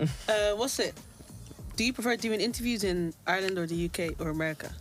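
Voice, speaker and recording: Background music plays under the speech. This woman talks at a fairly quick pace. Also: medium pitch for a woman, ordinary pitch variation. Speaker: radio show co-host. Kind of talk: radio show co-host banter.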